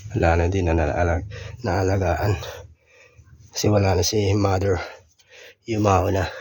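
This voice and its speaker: With long, frequent pauses and audible room echo, a man talks at a fairly slow pace in a very deep, low voice with monotone, flat intonation. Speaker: vlogger, former overseas worker. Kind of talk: casual vlog. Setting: old family house. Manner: casual, halting.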